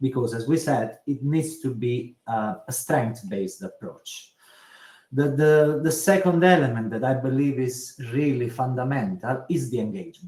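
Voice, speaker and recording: A man with an Italian accent talks at a moderate pace and a medium pitch. His tone is dark and mellow, somewhat breathy, with ordinary pitch variation. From Italy. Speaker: social care commissioner. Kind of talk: webinar discussion. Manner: halting.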